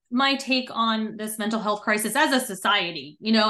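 Speaking at a fairly slow pace against a quiet background, a woman has a plain, everyday voice with ordinary pitch variation. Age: 40s. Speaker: Navy veteran and mental performance coach. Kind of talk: interview.

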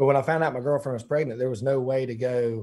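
In a very clean recording with a silent background, a man with a Southern US accent speaks at a medium pitch with a dark, mellow tone and fairly even intonation. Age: 30s. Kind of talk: casual interview.

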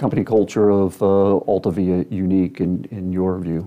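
This is a man with a normal speaking voice. He talks at a fairly low pitch and a moderate pace. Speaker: podcast host. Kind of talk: interview, formal host.

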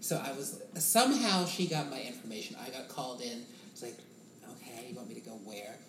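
An American accent at a moderate pace, with noticeable background noise. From Boston. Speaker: musical theatre performer. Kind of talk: casual chat.

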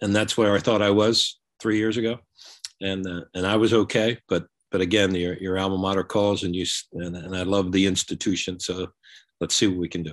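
Against a quiet background, a man talks at a fairly quick pace in a monotone, flat intonation with a very deep, low pitch. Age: 70s. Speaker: college basketball coach. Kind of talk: interview. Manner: halting.

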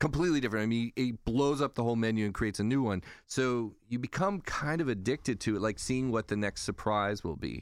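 On a very clean recording with a silent background, a man with an American accent talks very fast at medium pitch, with very even loudness and hardly any pauses. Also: ordinary pitch variation. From California. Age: 50s. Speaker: food writer and editor. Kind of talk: podcast interview.

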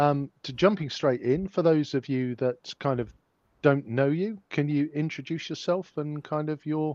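Against a quiet background, a man with a fairly high pitch talks at a moderate pace in a normal speaking voice. The sound is dry and close with no echo, and his pitch varies in an ordinary way. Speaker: podcast co-host and interviewer. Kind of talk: casual interview. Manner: wry, chatty.

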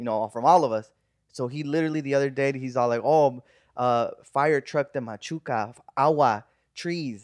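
A man with an unremarkable speaking voice and an American accent talks at a moderate pace, fairly high in pitch with ordinary pitch variation. His loudness swings widely against a quiet background. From Burbank, California. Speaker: podcast host. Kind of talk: casual chat.

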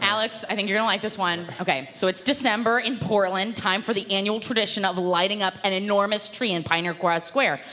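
A woman talks at a fairly quick pace with hardly any pauses and very even loudness. Noticeable background noise runs beneath her voice. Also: medium pitch for a woman, ordinary pitch variation. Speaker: comedian. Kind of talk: comedic storytelling.

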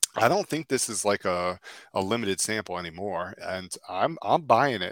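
A man with an ordinary speaking voice, fairly low in pitch with ordinary pitch variation, is heard on a very clean recording with a silent background and a dry, close sound with no echo. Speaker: fantasy baseball analyst. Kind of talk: casual chat, auction draft banter.

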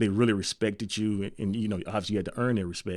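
A man talks at a very fast pace with a fairly low pitch and fairly even intonation. The recording is very clean, with a silent background. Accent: Memphis. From Memphis, Tennessee. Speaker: college football coach. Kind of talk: interview.

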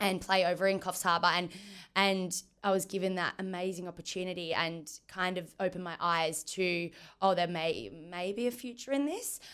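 Over a silent background in a very clean recording, a woman with an Australian accent talks at a medium pitch and a moderate pace with ordinary pitch variation. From Western Australia, Margaret River. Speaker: football player, team captain. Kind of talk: interview.

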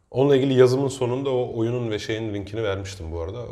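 Through audible room echo, a man with a dark, mellow, somewhat breathy tone talks at a fairly quick pace with fairly even intonation. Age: 30s. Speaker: teacher and podcast co-host. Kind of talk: casual chat.

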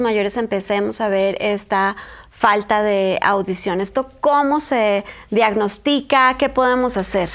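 An ordinary speaking voice, fairly slow in pace and ordinary in its pitch variation. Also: woman. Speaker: podcast host. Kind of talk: casual chat.

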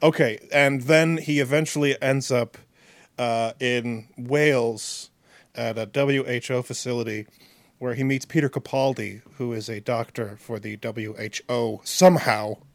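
A man with a plain, everyday voice, medium-pitched, at a fairly slow pace, in a very clean recording with a silent background. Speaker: podcast co-host. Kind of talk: casual chat. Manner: deadpan.

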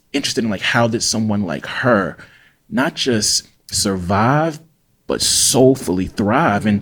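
A man with a Mississippi accent speaks at a moderate pace and a fairly low pitch. The recording is very clean, with a silent background. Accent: Mississippi Southern US. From US South, Jackson, Mississippi. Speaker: writer and English professor. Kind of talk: interview conversation.

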